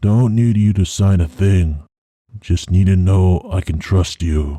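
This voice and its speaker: In a put-on character voice, a man speaks very deep and low, raspy and fairly even in intonation, at a fairly slow pace on a very clean recording with a silent background. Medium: read story. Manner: curt, gruff.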